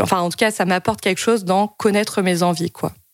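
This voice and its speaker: This woman speaks with a fairly low pitch, fairly even intonation and vocal fry. The recording is very clean, with a silent background. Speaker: podcast host. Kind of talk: casual chat.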